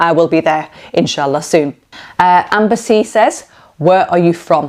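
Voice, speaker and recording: A woman with a Lancashire accent at a fairly low pitch and a moderate pace. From northern England, Preston, Lancashire. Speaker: cooking YouTuber. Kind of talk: casual Q&A vlog chat. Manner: animated.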